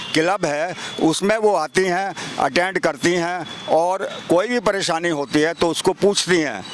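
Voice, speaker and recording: Noticeable background noise accompanies a man whose high pitch shows ordinary variation. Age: old. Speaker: senior citizen resident interviewed. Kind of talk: street interview. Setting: outdoors in a park.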